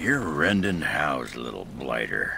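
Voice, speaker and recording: Over clear background noise, a man puts on a raspy character voice, very deep and low, delivered at a fairly slow pace. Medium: video game. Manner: blunt, gruff.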